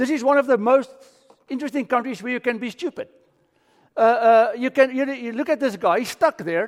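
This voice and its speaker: Speaking with a South African accent, a man has an extremely high pitch. His pace is fairly quick, with ordinary pitch variation. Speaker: pastor. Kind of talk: sermon. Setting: church.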